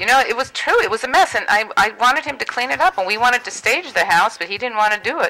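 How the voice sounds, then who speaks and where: Over noticeable background noise, a woman speaks very fast in a high voice. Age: 60s. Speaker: real estate agent. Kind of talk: call-in interview.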